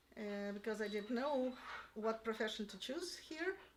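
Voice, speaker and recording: A woman with a Russian accent, her pitch fairly high and her intonation lively. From Russia (Yalta, Crimea). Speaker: piano teacher. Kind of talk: interview. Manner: halting.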